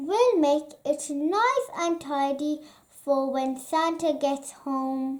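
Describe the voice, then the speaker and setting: A woman uses a high-pitched, put-on character voice and speaks very slowly. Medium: read story.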